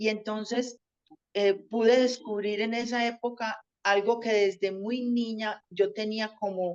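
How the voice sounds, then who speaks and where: A woman speaks in a Colombian paisa accent. Her fairly high voice has a monotone, flat intonation. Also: fairly slow pace. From Colombia, Antioquia (paisa). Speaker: teacher. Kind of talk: interview.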